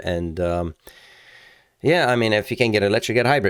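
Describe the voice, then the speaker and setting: On a very clean recording with a silent background, a man with a non-native accent speaks at a fairly low pitch with ordinary pitch variation. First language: not English. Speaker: car channel host. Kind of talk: casual video commentary. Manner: halting, many fillers.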